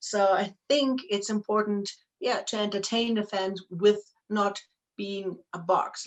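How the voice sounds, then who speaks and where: A woman speaks in a German accent. Her pitch sits in the medium range. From Germany. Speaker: professional wrestler and wrestling promoter. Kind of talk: interview.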